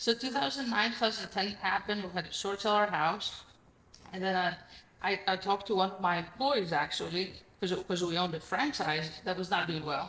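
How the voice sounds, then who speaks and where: A woman with a Greek accent talks at a fairly quick pace. Her pitch is medium, with ordinary variation. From Greece. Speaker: real estate investor. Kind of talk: podcast interview. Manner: animated.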